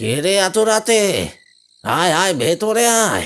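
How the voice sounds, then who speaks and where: A man puts on a high-pitched, cartoonish character voice at a fairly slow pace. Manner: humble, deferential toward the young master.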